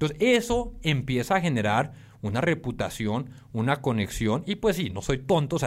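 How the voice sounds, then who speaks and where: A man with a Colombian accent talks at a fairly quick pace in a fairly high voice with lively intonation, on a very clean recording with a silent background. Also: hardly any pauses. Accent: Colombian-sounding Spanish. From Mexico, Tijuana. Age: 30s. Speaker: startup founder. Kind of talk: casual interview.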